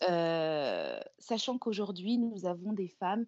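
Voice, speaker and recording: With fairly even intonation, a woman talks at a fairly slow pace. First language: another mother tongue, not French (speaking French). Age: 40s. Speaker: image coach. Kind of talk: interview. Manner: halting, many hesitations and repeated words.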